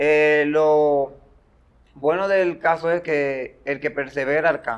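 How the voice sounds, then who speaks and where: Speaking very slowly with fairly even intonation, a man uses a fairly high pitch. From Dominican Republic, Baní (Peravia). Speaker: social media comedian. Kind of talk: interview.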